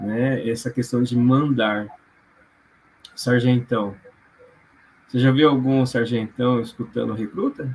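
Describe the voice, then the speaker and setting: A man talks very slowly at a medium pitch with fairly even intonation and long, frequent pauses. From Londrina, Paraná, Brazil. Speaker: physiotherapist and postgraduate lecturer. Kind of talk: casual interview on emotional origin of symptoms. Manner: hesitant, many fillers.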